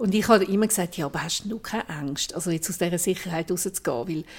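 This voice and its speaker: A woman with an unremarkable speaking voice, fairly low in pitch with ordinary pitch variation, is heard on a very clean recording with a silent background. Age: 60s. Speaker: journalist and podcast host. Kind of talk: casual chat.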